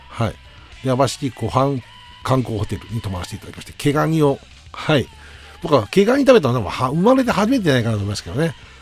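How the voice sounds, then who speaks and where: The speaker races along at a very fast pace, pitch swinging very widely and loudness rising and falling in big swings. Noticeable background noise sits underneath. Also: man, medium pitch for a man. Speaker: radio host and band musician. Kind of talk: solo radio talk. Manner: polite, many fillers.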